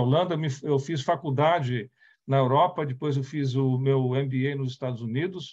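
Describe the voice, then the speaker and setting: Against a quiet background, a man talks at a moderate pace in a fairly high, somewhat breathy voice. His intonation stays fairly even. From Brazil, raised partly in the Netherlands. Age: 60s. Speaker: company CEO, speaker on diversity. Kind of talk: talk / presentation with slides. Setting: online event. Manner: halting, with self-corrections.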